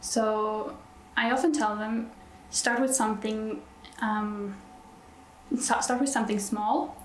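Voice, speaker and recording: In a Norwegian accent, a woman speaks at a very slow pace with a fairly high pitch, very even loudness and long, frequent pauses. Audible room echo and noticeable background noise fill the recording. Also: ordinary pitch variation. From Norway. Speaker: nurse. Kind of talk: interview. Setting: on site at a conference.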